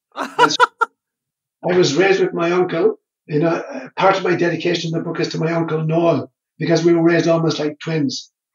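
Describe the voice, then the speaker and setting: A man with an Irish accent talks at a fairly quick pace, his voice pitched high for a man and his intonation fairly even. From Ireland. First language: Irish Gaelic. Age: 70s. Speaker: priest and psychologist. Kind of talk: interview.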